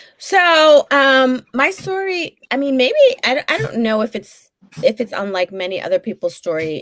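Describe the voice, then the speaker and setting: Speaking at a moderate pace with a Brooklyn accent, a woman uses a high pitch and very wide pitch swings in a dry, close sound with no echo. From New York, Brooklyn. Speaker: therapist. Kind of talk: interview. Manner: many fillers, hesitant.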